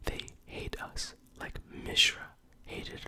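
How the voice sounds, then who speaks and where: A man whispers very slowly in a gentle tone against noticeable background noise. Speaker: ASMR creator. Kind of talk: story reading, ASMR. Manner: whispered, gentle.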